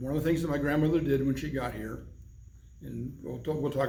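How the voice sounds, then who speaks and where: Audible room echo hangs around this speaker. He is a man with an American accent. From Arizona. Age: 70s. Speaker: civic club president. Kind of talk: oral history interview. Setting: in-person interview.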